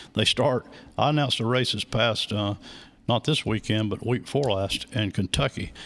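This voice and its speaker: A man with an American accent speaks at a fairly quick pace, his medium-pitched voice an unremarkable speaking voice. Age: 60s. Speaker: racing track announcer. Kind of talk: interview, casual chat. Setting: live radio and video broadcast.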